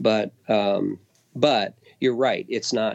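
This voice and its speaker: A man speaks in an ordinary speaking voice, fairly low-pitched with fairly even intonation. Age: 50s. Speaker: guitarist and musical theater pit musician. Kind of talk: casual interview chat.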